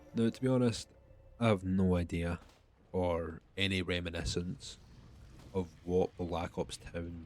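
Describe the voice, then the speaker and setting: With a strong Scottish accent, a man talks in a very deep, low pitch and ordinary pitch variation on a very clean recording with a silent background. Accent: heavy Scottish. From Scotland. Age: young. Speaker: gaming youtuber. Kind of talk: gameplay commentary. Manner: casual, filler-heavy.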